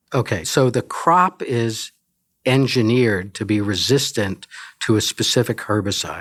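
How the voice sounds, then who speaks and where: A man's normal speaking voice at a medium pitch, fairly slow, with ordinary pitch variation, on a very clean recording with a silent background. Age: 60s. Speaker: entomology professor. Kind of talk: interview.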